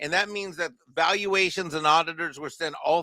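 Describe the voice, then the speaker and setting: A man's fairly high, bright and sharp voice at a fairly quick pace, on a very clean recording with a silent background, dry and close with no echo. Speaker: panelist with accounting background. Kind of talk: panel discussion. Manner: fast.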